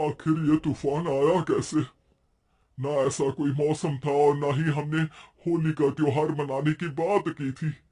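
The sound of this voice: In a cartoonish character voice, a man speaks at a moderate pace with fairly high pitch and monotone, flat intonation.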